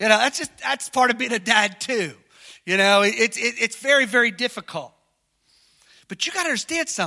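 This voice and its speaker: A man speaks in a raised, projected, extremely high-pitched voice with a bright, sharp tone and lively intonation, animated and fairly quick. Long, frequent pauses break up his speech, and the sound is dry and close with no echo. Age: 50s. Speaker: pastor. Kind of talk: sermon. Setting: church.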